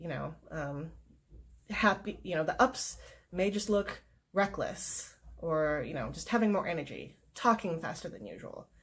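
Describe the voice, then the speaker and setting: A woman with a fairly low pitch and vocal fry, at a fairly slow pace, lively intonation and big swings in loudness. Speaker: mental health vlogger. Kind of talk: personal vlog talk. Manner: hesitant fillers.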